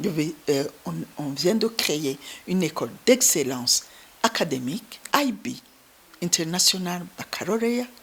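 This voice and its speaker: A woman speaks very slowly at a fairly low pitch, with very wide pitch swings. Noticeable background noise sits behind her. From Burundi, Ruyigi (east). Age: 60s. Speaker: humanitarian founder. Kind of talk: interview testimony.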